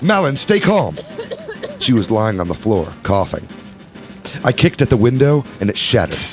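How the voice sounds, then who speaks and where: Music in the background under a man speaking at a fairly quick pace with very wide pitch swings. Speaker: podcast host. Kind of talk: audiobook narration.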